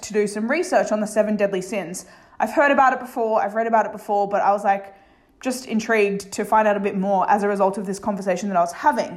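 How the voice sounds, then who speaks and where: A woman speaks at a very fast pace in a fairly high pitch. Audible room echo surrounds her voice. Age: 30s. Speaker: life coach and podcast host. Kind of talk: solo podcast monologue.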